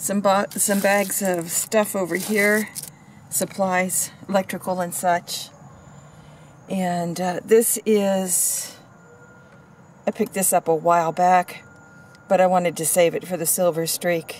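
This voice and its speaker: At a fairly slow pace, a woman speaks with long, frequent pauses over light background noise. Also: dry sound with no echo. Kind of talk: casual vlog chat. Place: car. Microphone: phone near.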